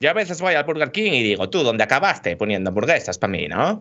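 Very wide pitch swings accompany a very fast pace. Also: man. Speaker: video game podcast host. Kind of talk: casual chat. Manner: animated.

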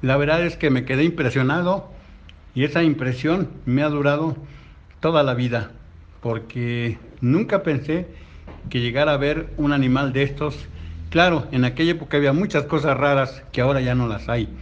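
A man speaks at a moderate pace with a fairly high pitch and ordinary pitch variation. His delivery has long, frequent pauses. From Mexico City, Tláhuac. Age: 60s. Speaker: grandfather. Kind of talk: storytelling.

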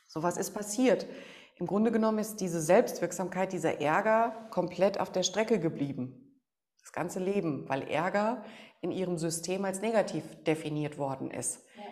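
In a normal speaking voice, a woman talks at a moderate pace with a medium pitch and ordinary pitch variation. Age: 40s. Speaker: negotiation expert and emotion coach. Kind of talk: podcast interview.

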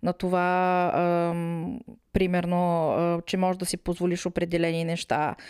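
Recorded very cleanly against a silent background, a woman speaks at a fairly slow pace and fairly low pitch, the sound dry and close with no echo. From Bulgaria, Smolyan (Rhodopes). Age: 40s. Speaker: emigrant office worker. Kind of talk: casual conversation. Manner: hesitant, many filler sounds.

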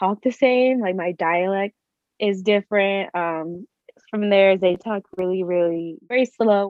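At a fairly slow pace, a woman with an American accent speaks at medium pitch with ordinary pitch variation. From California. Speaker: university student. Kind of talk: interview. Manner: casual, filler-heavy.

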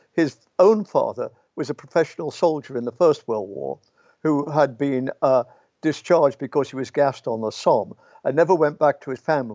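With an English accent, a man talks using ordinary pitch variation. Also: fairly high pitch for a man. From English Midlands and Yorkshire. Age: 80s+. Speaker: philosophy professor. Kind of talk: interview. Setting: video call. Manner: fast.

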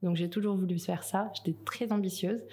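Her tone is dark and mellow. The woman's intonation stays fairly even. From New Caledonia. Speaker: project manager at a recycling network. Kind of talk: interview.

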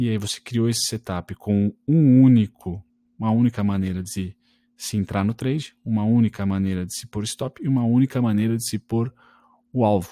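At a medium pitch and a moderate pace, a man with a dark, mellow tone shows ordinary pitch variation on a very clean recording with a silent background and a dry, close sound with no echo. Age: 20s. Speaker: trading podcaster. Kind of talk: solo podcast tutorial. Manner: casual, conversational.

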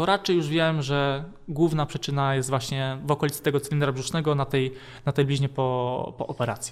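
This man talks at a very fast pace in a fairly high pitch, with fairly even intonation. The recording is very clean, with a silent background. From Konin, Poland. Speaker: physiotherapist guest. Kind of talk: casual interview chat.

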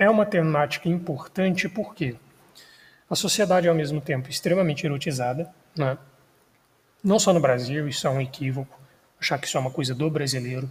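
A somewhat breathy man talks at a fairly quick pace with long, frequent pauses. His pitch is fairly high, with ordinary pitch variation. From Brazil, Minas Gerais. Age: 20s. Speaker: podcast host, history student. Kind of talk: solo podcast monologue. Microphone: non-professional recording equipment.

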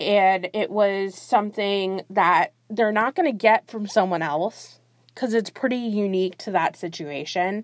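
A woman speaks fairly slowly in an ordinary speaking voice, medium in pitch with ordinary pitch variation. The sound is dry and close, with no echo. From South Florida, US (born in Brazil). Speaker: podcast host. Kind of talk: solo monologue podcast. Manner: casual, conversational.

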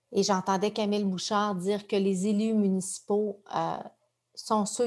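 At a moderate pace, a woman talks at medium pitch. Her intonation is monotone and flat. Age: 40s. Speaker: journalist and author. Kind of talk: personal testimony in an interview.

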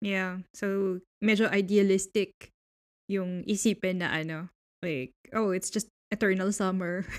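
Speaking at a fairly slow pace with long, frequent pauses, a woman uses fairly even intonation in a Filipino accent. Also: medium pitch for a woman. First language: Tagalog. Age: 30s. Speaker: podcast host. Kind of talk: casual chat.

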